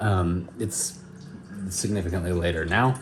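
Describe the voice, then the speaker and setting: A man speaks in a room with audible echo. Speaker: vlogger. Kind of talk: casual vlog talk. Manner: chatty, many fillers.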